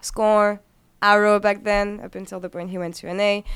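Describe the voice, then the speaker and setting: Recorded very cleanly against a silent background, a woman speaks with a French accent. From France. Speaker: esports host. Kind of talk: casual chat.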